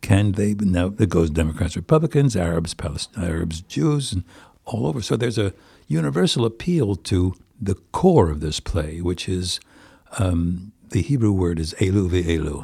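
A man speaks with an American accent at a moderate pace, his pitch very deep and low. His tone is dark and mellow, somewhat breathy, with ordinary pitch variation. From New Jersey, US. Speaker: stage actor. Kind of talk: interview. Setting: theater dressing room.

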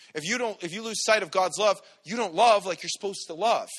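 Loud and bright with a sharp tone, a man speaks at a moderate pace. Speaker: preacher. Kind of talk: sermon. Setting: church.

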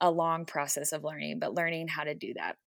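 A woman with an American accent speaks in a plain, everyday voice, fairly low in pitch. Her fairly quick delivery has fairly even intonation on a very clean recording with a silent background. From Texas. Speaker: mental health therapist. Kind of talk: faith-based interview conversation.

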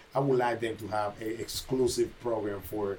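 A man of medium pitch at a moderate pace. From Panama. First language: Spanish. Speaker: boxing trainer and gym owner. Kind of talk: casual podcast conversation.

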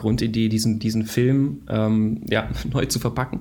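Dark and mellow in tone, a man's medium-pitched voice moves with ordinary pitch variation. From Baden-Württemberg, Germany, partly Israel. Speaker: film company founder. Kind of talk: interview.

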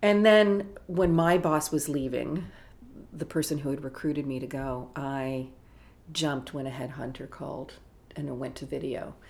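With audible room echo, a woman with a very deep, low pitch speaks at a moderate pace with ordinary pitch variation. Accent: Canadian. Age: 60s. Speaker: film festival executive. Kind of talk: interview.

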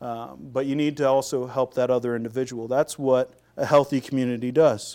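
Recorded very cleanly against a silent background, a man with a fairly high pitch talks at a moderate pace in an ordinary speaking voice. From US Pacific Northwest, Seattle. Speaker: pastor. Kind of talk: sermon. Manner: frequent fillers and repetitions.

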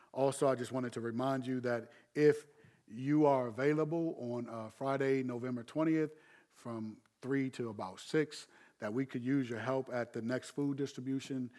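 Medium pitch and a dark, mellow tone from a man at a moderate pace, on a very clean recording with a silent background. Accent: American. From Maryland, US (Landover). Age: 50s. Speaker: pastor. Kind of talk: sermon. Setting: livestreamed church service. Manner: animated, repetitive stammering.

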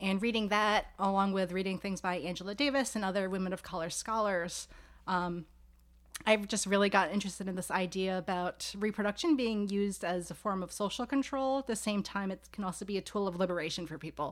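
At a fairly quick pace, an unremarkable speaking voice in an American accent shows ordinary pitch variation. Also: woman, medium pitch for a woman. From New York City, Staten Island. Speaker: sociology professor. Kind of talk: casual interview. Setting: home office.

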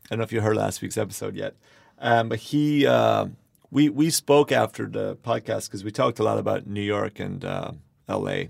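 In an Irish accent, a man talks at a moderate pace, with a dry, close sound and no echo. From Ireland. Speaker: podcast host. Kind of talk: casual interview chat. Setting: small studio.

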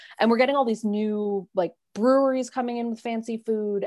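A woman with a New York accent at a fairly quick pace, against a quiet background. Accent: New York City. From New York City, Manhattan. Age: 30s. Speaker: podcast guest, former full-time RV traveler. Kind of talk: casual interview chat.

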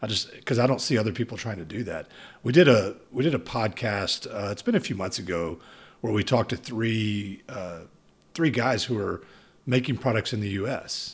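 Recorded very cleanly against a silent background, a man with a Texan accent speaks at medium pitch, somewhat breathy, with ordinary pitch variation. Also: moderate pace. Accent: Texan American English. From Texas. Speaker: podcast host. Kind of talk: casual interview. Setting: in-person conversation.

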